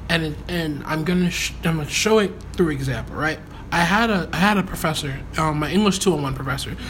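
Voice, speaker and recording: There is noticeable background noise behind this man's fairly high voice. He talks at a fairly quick pace with ordinary pitch variation. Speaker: podcast host. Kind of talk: casual conversation.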